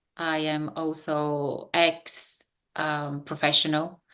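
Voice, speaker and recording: Against a quiet background, a woman with a Bulgarian accent speaks at a very deep, low pitch. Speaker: business coach. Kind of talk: interview. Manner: halting with fillers.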